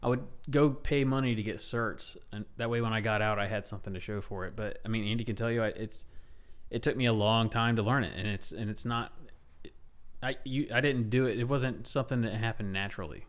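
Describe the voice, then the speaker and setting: Fairly quick delivery from a man in an ordinary speaking voice, medium-pitched, with fairly even intonation. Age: 30s. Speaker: military veteran. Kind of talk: casual chat.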